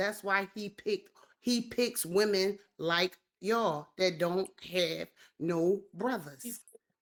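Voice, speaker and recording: A woman talks at a very slow pace. Her pitch is medium. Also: ordinary pitch variation. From Philadelphia, US. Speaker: podcast host. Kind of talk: casual chat.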